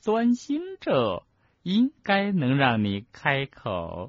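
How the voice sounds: A man uses a put-on character voice at medium pitch with very wide pitch swings. He speaks slowly, and the sound is dry and close with no echo.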